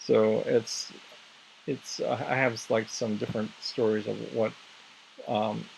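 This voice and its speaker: A man talks with an American accent. There is noticeable background noise. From US Southwest, Navajo reservation in northern Arizona. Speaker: English and music teacher. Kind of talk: casual group chat. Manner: halting, many repetitions and fillers.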